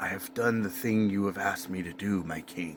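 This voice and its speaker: A raspy, put-on character voice from a man, fairly low in pitch, at a moderate pace, with clear background noise. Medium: solo performance. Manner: self-assured.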